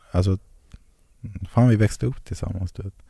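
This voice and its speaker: A man speaks in a fairly low pitch with a dark, mellow tone and ordinary pitch variation. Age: 20s. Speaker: HIV-positive guest sharing his story. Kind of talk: personal testimony in interview. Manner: halting, many fillers.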